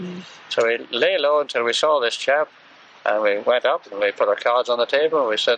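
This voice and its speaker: A man talks at a fairly quick pace. He has an English accent. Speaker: war veteran. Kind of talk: interview answer.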